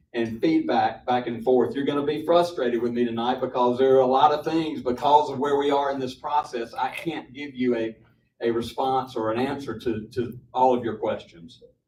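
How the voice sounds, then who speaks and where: Fairly even intonation with an American accent. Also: man. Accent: Southern accent (joked as Michigan). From Mississippi, US South. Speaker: property developer. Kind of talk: public forum presentation. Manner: halting, many fillers and repetitions.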